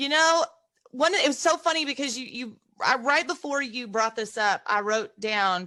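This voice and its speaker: Raised and projected, a woman's high-pitched voice has a bright, sharp tone and lively intonation at a moderate pace. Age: 50s. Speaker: podcast host. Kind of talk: interview.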